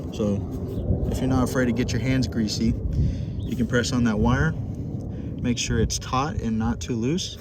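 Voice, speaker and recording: A man's medium-pitched voice amid noticeable background noise. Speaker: pilot. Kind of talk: casual walkthrough tutorial. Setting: outdoors. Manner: casual, hesitant.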